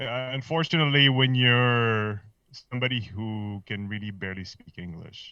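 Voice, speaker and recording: At a moderate pace and medium pitch, a man with a slight Filipino accent speaks with ordinary pitch variation and big swings in loudness. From Philippines. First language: Filipino language. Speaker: podcast guest. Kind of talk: casual chat. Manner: halting.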